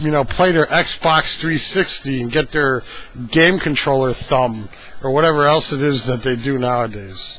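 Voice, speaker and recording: Noticeable background noise surrounds the man as he talks fairly slowly. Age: 30s. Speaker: video blogger. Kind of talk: casual monologue. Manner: hesitant, many fillers.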